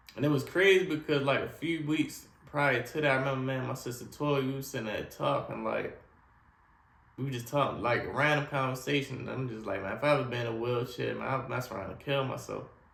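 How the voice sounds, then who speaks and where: A man at a medium pitch and very fast pace, ordinary pitch variation, audible room echo and noticeable background noise. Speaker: spinal cord injury survivor sharing his story. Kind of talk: personal testimony. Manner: casual, repetitive storytelling.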